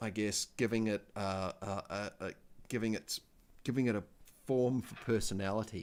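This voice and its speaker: With a New Zealand accent, a man talks at a moderate pace. His fairly low voice keeps fairly even intonation. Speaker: spiritual livestreamer. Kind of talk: casual live stream chat. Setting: live stream. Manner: halting, many fillers.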